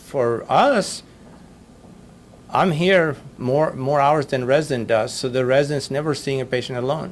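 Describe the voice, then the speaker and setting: This man's voice sits fairly high, with ordinary pitch variation. He leaves long, frequent pauses, and room echo can be heard. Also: moderate pace. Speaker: physician lecturer. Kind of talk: lecture.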